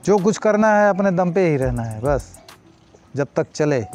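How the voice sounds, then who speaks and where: A man at a moderate pace, with a dry sound with no echo and faint music in the background. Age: 60s. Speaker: milkman. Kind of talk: interview answer. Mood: calm, reflective. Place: farm machine. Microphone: lapel.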